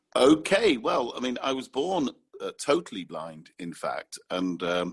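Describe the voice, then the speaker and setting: With a British accent, a man speaks at a fairly slow pace with vocal fry. His medium-pitched voice makes very wide pitch swings. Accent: clear, sharp, cut-glass British, BBC-like. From northern England, Manchester. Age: 20s. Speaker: communication specialist, blind guest. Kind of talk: interview, personal story. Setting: podcast recording. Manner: clear, careful enunciation; hesitant fillers.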